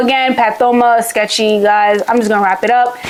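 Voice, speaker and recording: A woman speaks in an animated tone at a fairly high pitch. Noticeable background noise is audible. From Haiti. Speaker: medical student youtuber. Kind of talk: casual tutorial vlog.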